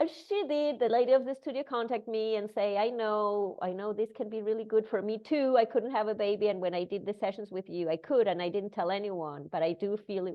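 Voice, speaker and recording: Delivered at a fairly quick pace, this voice carries a non-native accent and ordinary pitch variation. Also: woman. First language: not English. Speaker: breathwork teacher. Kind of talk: casual chat.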